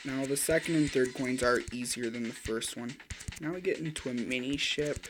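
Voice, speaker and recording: The speech moves at a moderate pace, with noticeable background noise. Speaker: gaming YouTuber. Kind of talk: gameplay commentary.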